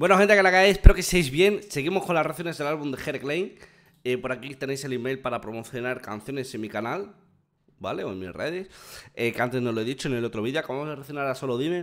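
The background stays quiet while a man speaks very rapidly. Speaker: music reaction streamer. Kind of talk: casual reaction chat. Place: home room. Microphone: studio mic.

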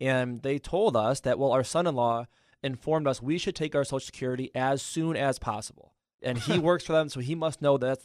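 This man has a normal speaking voice with fairly high pitch. He talks at a fairly quick pace. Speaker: financial instructor. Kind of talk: educational radio talk. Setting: studio.

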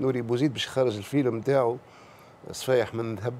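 A man's dark, mellow tone in a Tunisian accent. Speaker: political commentator. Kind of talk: TV talk show commentary. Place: studio. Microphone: lapel.

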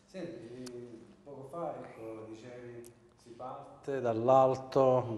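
A man's medium-pitched voice, dark and mellow in tone, with fairly even intonation and audible room echo. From Sicily, Adrano area. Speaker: TV host. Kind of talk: TV interview.

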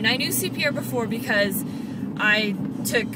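A woman speaks at a moderate pace. The sound is dry with no echo, but loud background noise is present. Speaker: fitness instructor and vlogger. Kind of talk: casual video blog. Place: car. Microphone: phone near.

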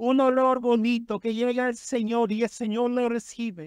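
An extremely high-pitched male voice, dry and close with no echo, over a quiet background. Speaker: preacher. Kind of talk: sermon. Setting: church. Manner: fervent, exhortative, pulpit delivery with amens and praise; earnest, urgent and solemn when warning about sin.

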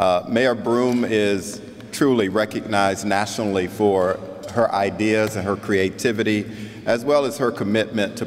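Here is a man with an unremarkable speaking voice and a fairly low pitch. He talks at a fairly slow pace with fairly even intonation. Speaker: keynote speaker. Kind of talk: keynote speech. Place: hall. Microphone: podium.

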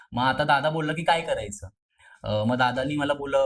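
Here a man speaks with ordinary pitch variation. His voice is somewhat breathy. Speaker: college student actor. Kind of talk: interview.

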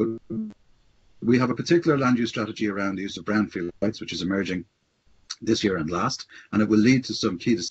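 Speaking at a very fast pace, a man breaks his speech with long, frequent pauses. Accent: Irish. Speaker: city housing policy official. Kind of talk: webinar presentation. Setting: video call.

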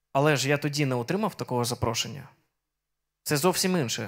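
Against a quiet background, the speaker uses lively intonation. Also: man. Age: 30s. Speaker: preacher. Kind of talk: sermon. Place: church. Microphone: handheld.

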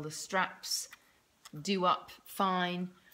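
A woman speaks with a British accent. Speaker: parent vlogger. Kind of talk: casual tutorial. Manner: hesitant, many fillers.

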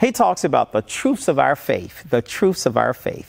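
A man's voice moves at a moderate pace with a quiet background behind it. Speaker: pastor. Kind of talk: sermon. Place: church. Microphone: lapel.

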